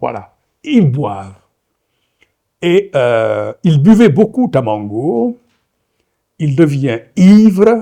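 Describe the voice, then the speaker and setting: A man speaks with a Senegalese accent at a very slow pace. His tone is dark and mellow, with very wide pitch swings. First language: Wolof (speaking French). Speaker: novelist. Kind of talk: lecture. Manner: hesitant, many fillers.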